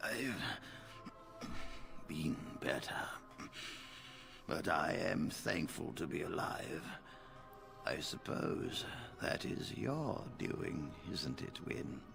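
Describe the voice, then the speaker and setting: A man whispering in a put-on character voice, very slow, with long, frequent pauses and loud music in the background. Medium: game stream. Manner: formal, measured.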